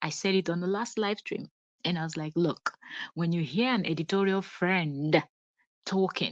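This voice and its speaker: Speaking with a Nigerian accent at a moderate pace, with ordinary pitch variation and long, frequent pauses, the voice has a dry, close sound with no echo against a quiet background. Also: woman, fairly low pitch for a woman. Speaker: celebrity gossip vlogger. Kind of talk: live stream gossip commentary. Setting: at home, live stream.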